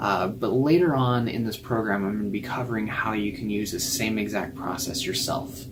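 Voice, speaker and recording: A man talks while noticeable noise is heard in the background. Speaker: hypnotherapist. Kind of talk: instructional introduction to camera. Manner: conversational, explanatory.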